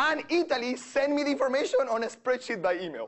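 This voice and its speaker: Amid noticeable background noise, a man's voice moves in very wide pitch swings. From Venezuela. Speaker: economics professor. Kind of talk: lecture. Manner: animated.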